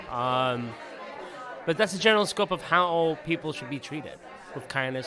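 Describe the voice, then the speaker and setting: Amid crowd noise and audible room echo, a man speaks at a moderate pace in a fairly high pitch that makes very wide swings. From Palestinian. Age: 30s. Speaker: activist. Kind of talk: casual interview.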